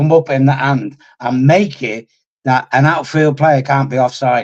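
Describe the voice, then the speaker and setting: At a fairly slow pace, a man talks in a plain, everyday voice at a fairly high pitch. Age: 60s. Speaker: football pundit. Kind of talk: casual chat.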